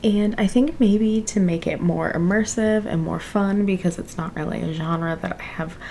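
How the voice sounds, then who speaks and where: Quietly, a woman speaks with ordinary pitch variation. Noticeable background noise runs underneath. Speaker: book vlogger. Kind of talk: casual vlog talk. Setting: home library at night.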